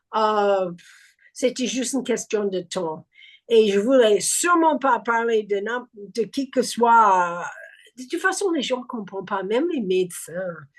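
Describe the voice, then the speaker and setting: A woman's fairly high, lively voice at a very slow pace against a quiet background. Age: 70s. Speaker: recovery group member. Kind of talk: testimony. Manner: halting.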